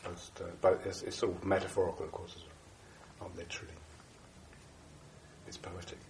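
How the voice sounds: A man speaks in a low voice with a slightly mellow tone and little pitch movement. His pace is moderate, and room echo is audible.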